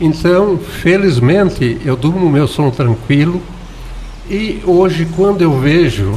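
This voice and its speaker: A man speaks with lively intonation at a fairly slow pace while noticeable background noise carries on. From southern Brazil, Santa Catarina. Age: 70s. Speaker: former mayor and writer. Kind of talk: radio interview.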